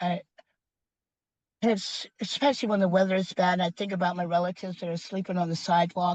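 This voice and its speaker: The voice is somewhat breathy with fairly even intonation, captured with a dry, close sound and no echo. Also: woman. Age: 70s. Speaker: community food program founder. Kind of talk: interview.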